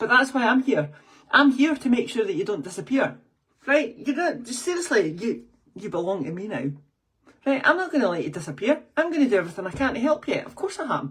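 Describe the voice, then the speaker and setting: At a fairly quick pace, a woman speaks at a high pitch with very wide pitch swings. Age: 50s. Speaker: fitness and weight-loss coach. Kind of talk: podcast monologue. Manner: animated; fast.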